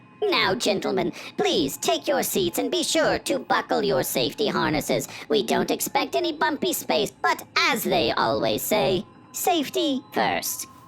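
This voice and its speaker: Over clear background noise, a female-sounding put-on character voice moves at a moderate pace with a medium pitch. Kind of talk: airline safety announcement. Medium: audio drama. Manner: polite, formal.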